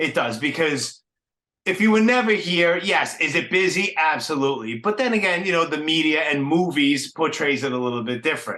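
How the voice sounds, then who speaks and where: Fairly high male voice, bright and sharp in tone, at a fairly quick pace. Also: lively intonation. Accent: strong Brooklyn. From New York City (Brooklyn). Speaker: podcast host. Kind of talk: casual interview chat. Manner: casual, filler-heavy.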